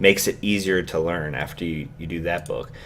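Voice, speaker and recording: A man mumbles at a moderate pace. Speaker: YouTuber. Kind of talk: vlog monologue. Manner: mumbling; casual, hesitant with fillers.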